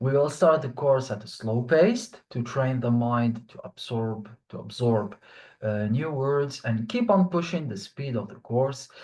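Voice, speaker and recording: A man speaks at a fairly slow pace with ordinary pitch variation. His voice is somewhat breathy, and the background is quiet. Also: medium pitch for a man. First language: French. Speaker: online French teacher. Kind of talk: online class lecture.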